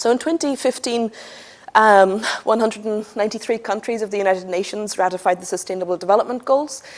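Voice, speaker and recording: A woman with an Irish accent talks very fast at a fairly high pitch. Her loudness swings a lot, while her pitch varies in an ordinary way. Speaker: energy analyst. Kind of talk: conference presentation.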